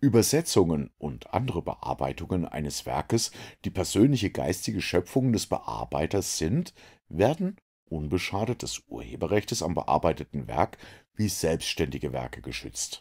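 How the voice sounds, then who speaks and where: A man talks with a very deep, low pitch, vocal fry and very wide pitch swings. The recording is very clean, the background silent. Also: moderate pace. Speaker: reader of texts. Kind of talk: narrated reading of a legal text.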